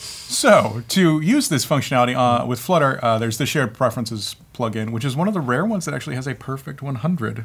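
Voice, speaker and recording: At a fairly quick pace, a man speaks somewhat breathily with ordinary pitch variation. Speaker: developer show host. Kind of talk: tutorial. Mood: relaxed, joking. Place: studio.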